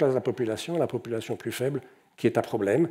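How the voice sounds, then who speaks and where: A man speaks with lively intonation. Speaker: economist and conference speaker. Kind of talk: conference talk. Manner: halting, many repetitions and fillers.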